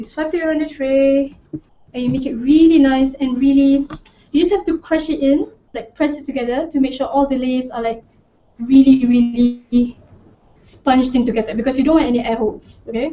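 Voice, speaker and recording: A woman's high-pitched voice at a fairly quick pace, with ordinary pitch variation. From Malaysia. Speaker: cooking show presenter. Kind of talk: cooking tutorial. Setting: studio. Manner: animated. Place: kitchen.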